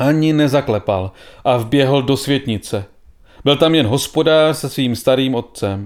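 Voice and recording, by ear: Someone reads aloud in a natural voice.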